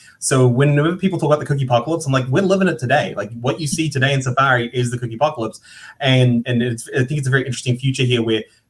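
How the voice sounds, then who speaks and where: Speaking very fast, a man with a medium pitch and ordinary pitch variation sounds somewhat breathy. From New Zealand. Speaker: digital marketing panelist. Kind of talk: panel discussion. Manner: repetitive false starts.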